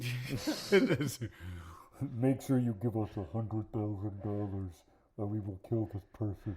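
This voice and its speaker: A put-on character voice speaks at a fairly slow pace in a low pitch. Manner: menacing.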